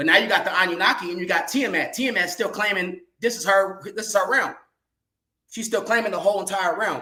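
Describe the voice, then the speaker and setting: A man speaks in a raised, projected voice, high-pitched for a man, with a bright, sharp tone, ordinary pitch variation, a fairly quick pace and audible room echo. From California. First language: sign language. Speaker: podcast panel guest. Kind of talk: casual panel discussion. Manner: halting, many fillers.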